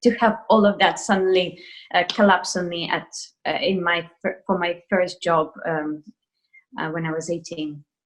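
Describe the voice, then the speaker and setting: A woman with a Russian accent speaks at a moderate pace and a fairly low pitch with fairly even intonation. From Russia, Moscow. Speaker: ballet dancer. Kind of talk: interview. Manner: hesitant with fillers.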